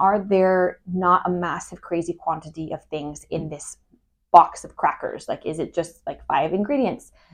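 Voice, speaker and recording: Against a quiet background, a woman speaks at a moderate pace with medium pitch and ordinary pitch variation. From Northern California, Humboldt County. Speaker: podcast co-host, mother. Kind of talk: casual chat.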